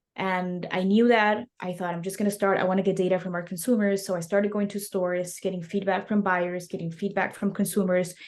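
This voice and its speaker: Her voice sits at a medium pitch, delivered in a monotone, flat intonation. The woman keeps a moderate pace. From Mexico City. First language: Spanish. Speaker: snack company founder. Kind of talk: interview.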